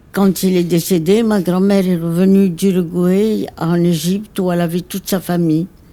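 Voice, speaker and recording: A woman speaks at a very slow pace in a fairly low pitch with a dark, mellow tone. Her intonation is monotone and flat. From Egypt. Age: 80s+. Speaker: interviewee, elderly woman sharing life story. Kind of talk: personal life story interview. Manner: halting, many hesitations.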